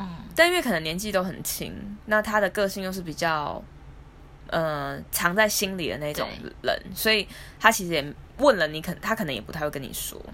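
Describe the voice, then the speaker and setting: With a Taiwanese accent, a woman speaks in a bright, sharp tone with vocal fry, lively intonation and big swings in loudness. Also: medium pitch for a woman, moderate pace. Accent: Taiwanese Mandarin. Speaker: podcast co-host. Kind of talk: casual chat. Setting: home recording.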